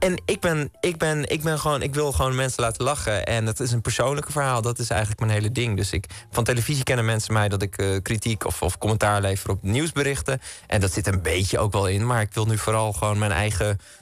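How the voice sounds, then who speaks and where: A man talks at a very fast pace with hardly any pauses, the sound dry with no echo and faint music in the background. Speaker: radio guest. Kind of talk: interview answer. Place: studio. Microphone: studio mic.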